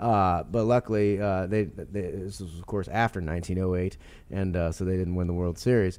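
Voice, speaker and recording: A man with an American accent speaks at a fairly quick pace in a very deep, low voice, his pitch varying in an ordinary way. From St. Louis, Missouri, US Midwest. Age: 30s. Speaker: sports columnist and author. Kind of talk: interview. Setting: stadium studio.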